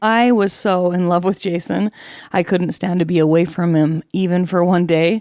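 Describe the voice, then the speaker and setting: In an American accent, a woman with an ordinary speaking voice talks at a moderate pace with medium pitch and ordinary pitch variation, on a very clean recording with a silent background. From Utah. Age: 40s. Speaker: podcaster. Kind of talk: personal testimony podcast.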